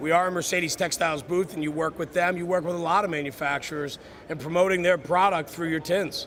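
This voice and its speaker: A loud, very fast man's voice, high-pitched and monotone, with flat intonation over noticeable background noise. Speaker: podcast host. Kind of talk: live stream interview. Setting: trade show booth.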